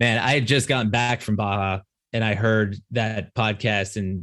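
With an American accent and a normal speaking voice, a man speaks at a fairly low pitch and moderate pace with fairly even intonation, recorded very cleanly against a silent background. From New Jersey. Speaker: lawyer and off-road enthusiast. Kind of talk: casual chat.

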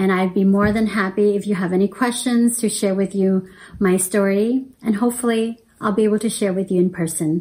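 Her pace is moderate and her intonation fairly even. The woman speaks at a medium pitch. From born in Laos, raised as refugee then resettled in US. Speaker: church member giving testimony. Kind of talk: testimony.

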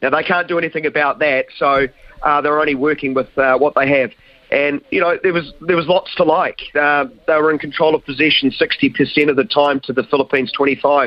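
A man with a New Zealand accent, fairly high pitch, fairly even intonation, very even loudness and a moderate pace. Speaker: sports commentator. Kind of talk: live football goal commentary, building to an explosive call.

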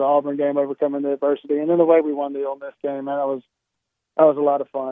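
Talking at a very fast pace, a man with a Southern US accent uses a fairly high pitch. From South Carolina, Columbia. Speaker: college football coach. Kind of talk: phone interview. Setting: phone call.

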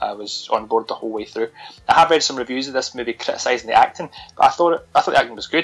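Someone speaks at a very fast pace with music in the background. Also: man. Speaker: podcast host, horror film reviewer. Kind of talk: casual chat, film review. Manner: joking, chatty.

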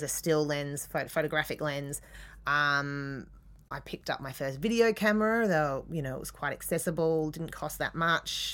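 On a very clean recording with a silent background, a woman with an Australian accent speaks at a moderate pace in a very deep, low pitch. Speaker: artist. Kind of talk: interview. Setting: studio. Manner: halting.

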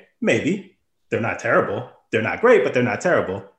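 Somewhat breathy, the voice belongs to a man. He is the one speaking. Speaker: NBA editor. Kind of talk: casual sports betting chat. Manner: even-toned, steady voice.

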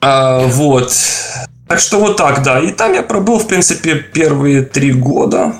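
Over noticeable background noise, a man speaks at a very slow pace. His loudness stays very even while his intonation is lively. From Ukraine. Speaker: game environment artist. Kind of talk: casual interview. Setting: video call. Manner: halting.

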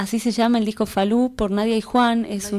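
Woman's voice with a dark, mellow tone. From Salta, northwest Argentina. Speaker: folk singer. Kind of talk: interview. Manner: halting, with frequent repetitions.

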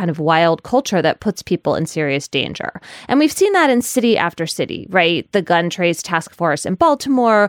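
A woman's ordinary speaking voice at a moderate pace, with lively intonation, a dry, close sound with no echo, and a very clean recording over a silent background. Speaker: podcast host and legal journalist. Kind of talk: casual discussion.

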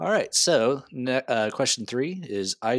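This is an ordinary speaking voice, a man's, with an American accent. His pitch is medium and his intonation lively. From Texas. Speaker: guest quiz host, transit worker. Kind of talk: reading trivia questions. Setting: remote recording.

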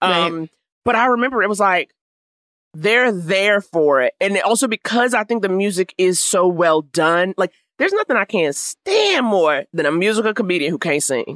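A woman with an American accent and an unremarkable speaking voice talks at a moderate pace and medium pitch, her intonation lively and her loudness very even, in a dry, close sound with no echo. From Harlem, New York. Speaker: comedian. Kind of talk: casual chat.

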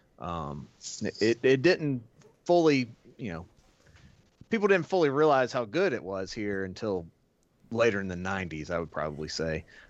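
A man speaks at a fairly low pitch, with very wide pitch swings and big swings in loudness. Long, frequent pauses break up his speech. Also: moderate pace. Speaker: podcast co-host. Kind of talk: casual chat.

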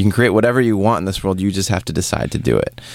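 A man with an American accent talks at a very deep, low pitch. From US West Coast, Seattle. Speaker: photographer and podcast host. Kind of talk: casual interview.

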